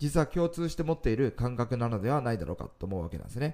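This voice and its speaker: A man talks at a medium pitch in a dark, mellow tone with lively intonation. The recording is very clean, with a silent background. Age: 40s. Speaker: fortune-telling consultant. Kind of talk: solo monologue talk.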